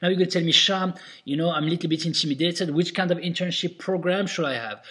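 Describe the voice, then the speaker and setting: Speaking with a non-native accent, a man has a fairly high pitch. He sounds enthusiastic. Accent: foreign-accented English. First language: not English. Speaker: restaurant owner and consultant. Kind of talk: tutorial. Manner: casual, many fillers.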